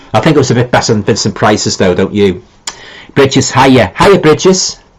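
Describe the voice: Speaking at a moderate pace with a Liverpool accent, a man uses a medium pitch with big swings and a slightly husky edge. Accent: Liverpool (Scouse).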